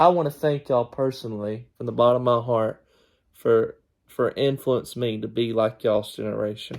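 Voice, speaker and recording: A man talks with a Southern US accent. His pitch is medium and his intonation fairly even. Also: moderate pace. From US South. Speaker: podcast host. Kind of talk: family interview.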